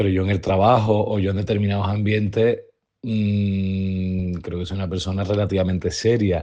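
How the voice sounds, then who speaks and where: Low-pitched and dark, mellow in tone, a man speaks in a Sevillian accent with monotone, flat intonation. His pace is moderate, and the background is quiet. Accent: Sevillian Andalusian. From Seville, Andalusia. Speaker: interviewee. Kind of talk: testimony. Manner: reflective, with hesitations.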